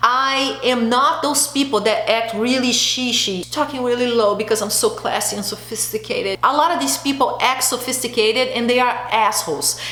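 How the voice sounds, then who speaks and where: Amid noticeable background noise and audible room echo, a woman with a high pitch talks in an animated tone at a moderate pace. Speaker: beauty and lifestyle vlogger. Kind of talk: casual chat. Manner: loud.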